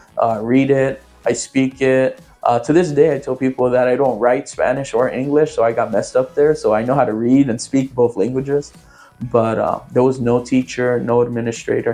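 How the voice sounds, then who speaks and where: Over music in the background, a man speaks at a medium pitch with monotone, flat intonation. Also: moderate pace. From San Francisco Bay Area, California (Oakland, Antioch). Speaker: community member sharing life story. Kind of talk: interview testimony. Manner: halting, many fillers.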